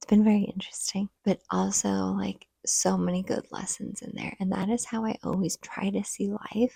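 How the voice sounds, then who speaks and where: Quiet and dry, a woman's voice comes through close, with no echo, at a moderate pace. She hardly pauses, and her loudness swings a lot. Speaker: stay-at-home mom vlogger. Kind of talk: casual vlog talk to camera. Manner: talking quietly.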